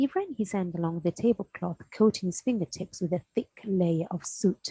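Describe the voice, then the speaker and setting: Soft-spoken and somewhat breathy, a woman with a medium-pitched, dark, mellow tone talks at a moderate pace with lively intonation in a dry, close sound with no echo. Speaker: primary school teacher. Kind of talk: reading aloud. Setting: at home, in dressing gown. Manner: halting.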